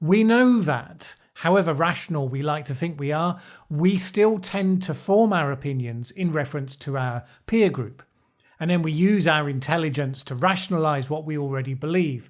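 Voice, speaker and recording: On a very clean recording with a silent background, a man speaks with a British accent. His pitch is fairly high, his intonation lively and his pace moderate. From Britain. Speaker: political commentator. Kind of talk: video essay commentary.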